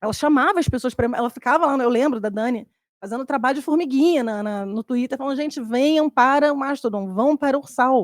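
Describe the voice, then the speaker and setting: Her high-pitched voice moves with lively intonation, and this woman's sound is dry and close with no echo. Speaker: social network instance moderator, panelist. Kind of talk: panel presentation. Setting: conference stage with live audience, streamed. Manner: fast.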